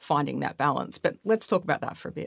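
A woman's bright, sharp tone with vocal fry, on a very clean, dry, close recording with no echo and a silent background. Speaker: podcast host. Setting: studio.

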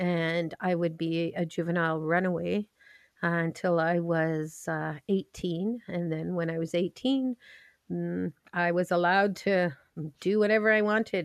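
A woman with a normal speaking voice talks at a fairly slow pace, with a fairly low pitch and fairly even intonation. The sound is dry and close with no echo. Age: 50s. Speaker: community patrol leader. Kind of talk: interview.

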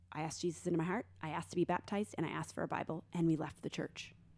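A woman with a very deep, low voice and vocal fry speaks very fast. Her pitch variation is ordinary. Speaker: Bible study leader. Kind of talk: casual conversation.

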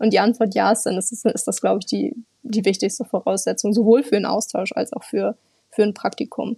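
A woman speaks at a fairly quick pace, fairly high in pitch with ordinary pitch variation. Her tone is dark and mellow with vocal fry, and the sound is dry and close with no echo. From northern Germany, near Bremen. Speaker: intern at an exchange organisation. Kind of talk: interview.

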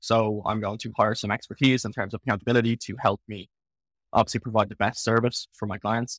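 With an Irish accent, a man at medium pitch speaks fairly quickly in a flat monotone with big swings in loudness, the sound dry and close with no echo. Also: very clean recording, silent background. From Ireland. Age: 20s. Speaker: online fitness coach and bodybuilder. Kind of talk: casual interview chat.

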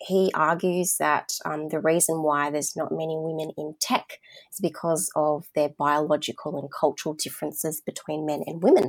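A woman with an Australian accent talks at a moderate pace with hardly any pauses, her pitch very deep and low and her intonation fairly even. The recording is very clean, with a silent background. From Australia, southwest Sydney. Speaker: marketing communications manager and copywriter. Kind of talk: interview.

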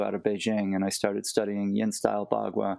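This man has an unremarkable speaking voice. He talks fairly quickly with an American accent. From United States. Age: 50s. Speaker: martial arts teacher. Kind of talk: interview.

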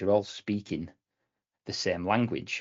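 A man with a British accent, fairly low pitch, ordinary pitch variation and a fairly quick pace. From UK. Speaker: cloud architect. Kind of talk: casual podcast interview.

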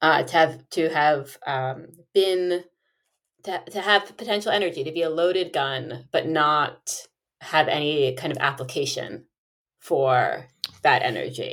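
Speaking at a fairly slow pace, a woman uses a very deep, low pitch with ordinary pitch variation. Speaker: English professor. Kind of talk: casual interview conversation.

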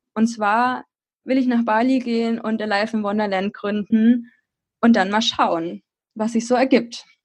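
Her voice is somewhat breathy and monotone, with flat intonation. The woman keeps to a fairly slow pace. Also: fairly high pitch for a woman. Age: 20s. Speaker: blogger and podcaster. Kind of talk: casual interview.

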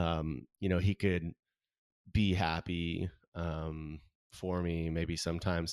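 In a Californian accent, a man with a very deep, low pitch speaks very slowly in a flat monotone. Long, frequent pauses break up a very clean recording with a silent background. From Southern California. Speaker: artist. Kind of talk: interview.

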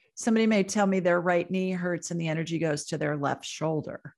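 A woman with an American accent speaks in a plain, everyday voice at a medium pitch, with ordinary pitch variation against a quiet background. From Ohio, Columbus. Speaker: psychic and medical intuitive. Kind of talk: interview.

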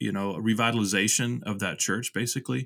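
A man with an American accent has a plain, everyday voice at a medium pitch. His pitch varies in an ordinary way, and the sound is dry and close with no echo. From Texas (Rio Grande Valley, Houston). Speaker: pastor and author. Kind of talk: casual interview.

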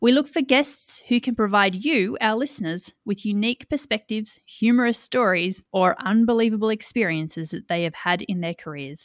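The speaker talks at a moderate pace in an Australian accent, with lively intonation and hardly any pauses. The sound is dry and close with no echo, on a very clean recording with a silent background. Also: woman, fairly high pitch for a woman. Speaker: podcast host and environmental consultancy CEO. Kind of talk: scripted podcast trailer introduction.

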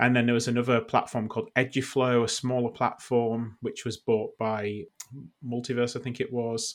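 In a British accent, a man speaks at a moderate pace and medium pitch on a very clean recording with a silent background. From United Kingdom. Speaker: podcast co-host, education commentator.

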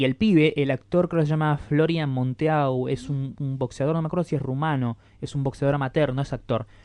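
Fairly high for a man, his dark, mellow voice moves at a fairly quick pace with fairly even intonation and hardly any pauses. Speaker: podcast co-host. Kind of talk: casual chat.

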